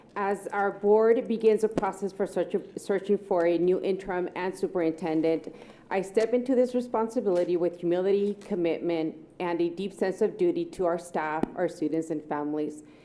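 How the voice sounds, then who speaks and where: A woman at a moderate pace with ordinary pitch variation, amid noticeable background noise. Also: medium pitch for a woman. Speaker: interim school superintendent. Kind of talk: prepared speech at board meeting. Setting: public board meeting with microphone. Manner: loud; formal.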